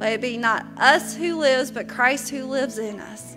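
Clear music plays in the background as a high-pitched woman speaks at a fairly slow pace with fairly even intonation. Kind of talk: spoken prayer. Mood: reverent, calm prayer. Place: church. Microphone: podium.

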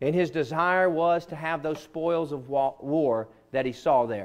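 Speaking with a Southern US accent, a man moves at a moderate pace in a fairly high pitch. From US South. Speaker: pastor. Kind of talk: sermon. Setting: church. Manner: earnest, conversational preaching. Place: church.

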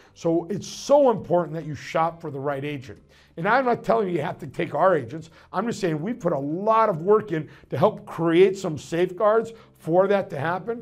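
A man's high voice at a moderate pace, with lively intonation and big swings in loudness. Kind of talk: promotional advice talk. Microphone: lapel.

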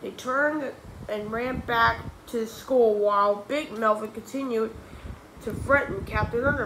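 Pitch moves in an ordinary way here. The voice is a natural reading voice.

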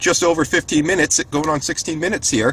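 The speech moves at a very fast pace. The sound is dry, with no echo. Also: man. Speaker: EV road trip vlogger. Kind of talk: casual vlog chat. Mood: upbeat, excited. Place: car. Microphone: camera far.

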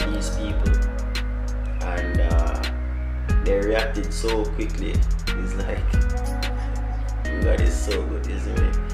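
Over loud background music, a man talks at a very slow pace, leaving long, frequent pauses. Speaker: vlogger. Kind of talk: casual vlog chat. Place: home room. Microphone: phone near.

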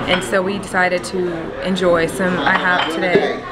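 Crowd noise fills the background. A woman speaks with ordinary pitch variation. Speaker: vlogger. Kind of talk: casual vlog chat. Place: cafe. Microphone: phone near.

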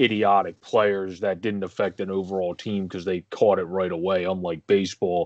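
A man with a very deep, low pitch and monotone, flat intonation, at a moderate pace, dry with no echo against a quiet background. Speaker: sports podcast co-host. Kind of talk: casual sports commentary. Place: home room. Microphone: video call.

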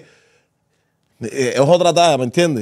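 In a quiet setting, a man's speech shows ordinary pitch variation. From Havana, Cuba; Cuba. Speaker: co-host. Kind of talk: casual chat. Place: studio. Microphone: studio mic.

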